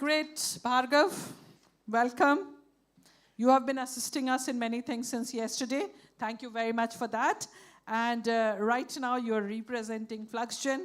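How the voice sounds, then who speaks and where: Loud woman with a high pitch and ordinary pitch variation, at a fairly slow pace with long, frequent pauses, on a very clean recording with a silent background. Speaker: session moderator. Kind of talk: moderating a panel session.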